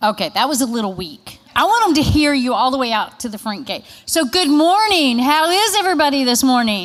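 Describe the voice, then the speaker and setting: Over noticeable background noise, a woman with a Kentucky accent speaks loudly and in an animated tone, her high pitch making very wide swings as she goes at a fairly quick pace with hardly any pauses. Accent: Kentucky Southern US. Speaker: state agriculture marketing presenter. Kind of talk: conference presentation. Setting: conference room with audience.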